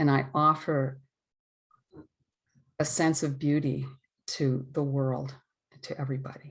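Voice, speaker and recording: The delivery is monotone and flat, somewhat breathy, at a fairly slow pace. Long pauses come often. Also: woman, very deep, low pitch for a woman. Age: 60s. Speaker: ceremony participant. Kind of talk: testimony.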